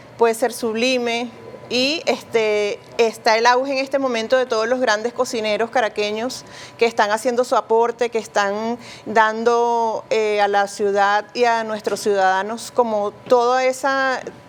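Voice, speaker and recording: Over noticeable background noise, a woman with a fairly high pitch speaks at a fairly slow pace, in a monotone, flat intonation and at a very even loudness. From Venezuela. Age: 60s. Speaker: cook. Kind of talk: interview.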